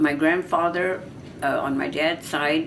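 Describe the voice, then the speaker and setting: Very slow speech in an American accent with fairly even intonation, audible room echo and noticeable background noise. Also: woman. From US West, California Central Valley. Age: 90s. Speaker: family elder telling her life story. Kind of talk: oral history. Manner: halting.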